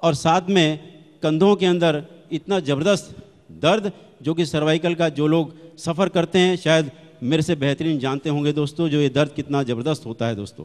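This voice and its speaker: This man's voice is fairly high. Its pitch moves in an ordinary way. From Delhi, India. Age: 60s. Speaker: retired manager giving product testimony. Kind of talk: testimony speech. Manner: animated.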